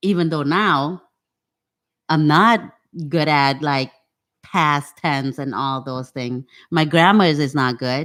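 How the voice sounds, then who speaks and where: A woman with a Cambodian accent, a very deep, low pitch and ordinary pitch variation, at a very slow pace, on a very clean recording with a silent background. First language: Khmer. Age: old. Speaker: podcast guest. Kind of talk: casual interview chat.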